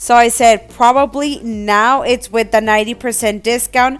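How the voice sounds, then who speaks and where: Her intonation fairly even, a woman speaks at a high pitch. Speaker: couponing vlogger. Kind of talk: casual vlog chat. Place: car. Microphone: phone near.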